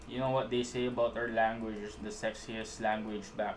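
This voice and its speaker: In a strong Filipino accent, a man speaks at a moderate pace with a relaxed tone and monotone, flat intonation, with audible room echo. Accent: thick Filipino. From Philippines. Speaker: animator. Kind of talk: live stream chat while animating. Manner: casual, relaxed.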